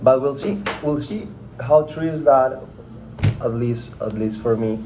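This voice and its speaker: Amid noticeable background noise and audible room echo, a man with a Spanish accent talks at a fairly slow pace in a medium pitch, with lively intonation. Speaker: content creator. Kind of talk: casual chat. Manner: halting, many fillers and repetitions.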